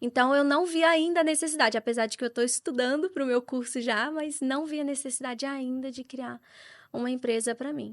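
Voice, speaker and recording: A woman's high voice with a Brazilian accent, at a fairly quick pace with fairly even intonation, over a quiet background. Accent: Brazilian accent when speaking English. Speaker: real estate agent. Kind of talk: podcast interview. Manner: conversational.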